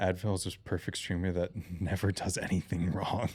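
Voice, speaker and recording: Mumbling at a very deep, low pitch, a man speaks with fairly even intonation. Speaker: gaming streamer. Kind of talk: live gameplay stream chat.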